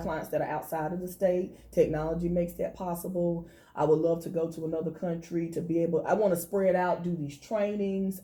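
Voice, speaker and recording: With a North Carolina accent, a woman talks at a fairly quick pace in a monotone, flat intonation. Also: fairly low pitch for a woman, hardly any pauses. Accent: Southern US (North Carolina). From Thomasville, North Carolina. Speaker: financial consultant. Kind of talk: interview answer.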